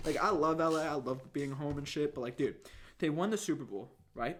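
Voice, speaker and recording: A man talks at a fairly quick pace and a fairly high pitch. His tone is animated, and his pitch variation is ordinary. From Los Angeles area, after early childhood in Israel. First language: Hebrew. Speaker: podcast host. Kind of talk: casual chat.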